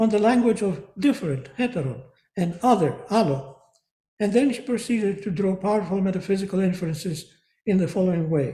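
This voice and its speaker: Dark and mellow in tone yet high in pitch, a man with a Greek accent speaks at a fairly quick pace with lively intonation. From Greece. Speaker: professor emeritus of philosophy. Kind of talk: lecture. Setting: video call. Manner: formal.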